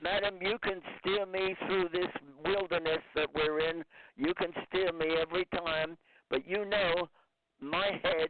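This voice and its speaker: A man with a high voice speaks at a fairly slow pace and very even loudness. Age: 90s. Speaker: record label founder. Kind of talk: casual chat. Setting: phone call.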